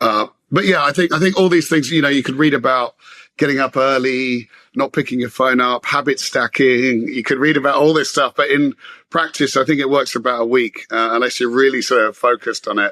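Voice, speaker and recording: A man with a London accent, medium pitch, bright, sharp tone, fairly even intonation and fairly quick pace, in a dry, close sound with no echo. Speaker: business executive. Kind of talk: interview conversation. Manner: halting, many fillers.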